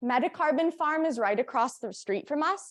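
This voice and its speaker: Her pitch swings very widely as the woman talks at a fairly quick pace. The background is quiet. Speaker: conference presenter on agroforestry. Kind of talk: conference presentation. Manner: fast.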